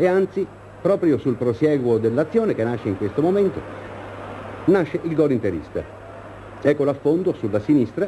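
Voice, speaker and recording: Over noticeable background noise, a man speaks at a moderate pace with very wide pitch swings and long, frequent pauses. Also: fairly high pitch for a man. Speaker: sports reporter, match commentator. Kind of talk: 1970s sports newsreel, live match commentary over footage. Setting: stadium link-up, remote. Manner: brisk, earnest, crisp play-by-play.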